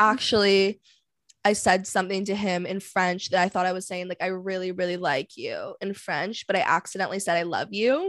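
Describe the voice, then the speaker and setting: In a Canadian accent, a woman with an ordinary speaking voice talks at a fairly quick pace and medium pitch, her intonation fairly even, on a very clean recording with a silent background. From Vancouver, Canada. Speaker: podcast host. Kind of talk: casual chat.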